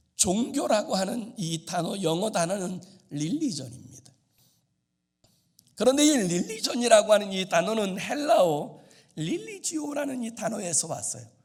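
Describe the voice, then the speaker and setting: Fairly slow, a high-pitched man speaks with very wide pitch swings. Audible room echo is present. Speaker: pastor. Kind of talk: sermon. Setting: church.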